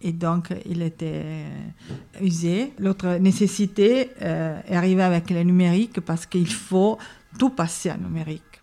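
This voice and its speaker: Fairly slow and fairly low-pitched, a woman speaks with an Italian accent in a dark, mellow tone. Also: ordinary pitch variation. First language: Italian (speaking French). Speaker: film archivist. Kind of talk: interview. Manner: halting.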